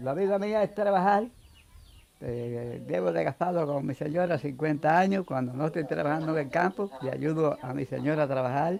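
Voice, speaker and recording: A man's fairly high voice carries lively intonation at a moderate pace, with noticeable background noise behind him. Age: 80s+. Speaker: farmer. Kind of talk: interview.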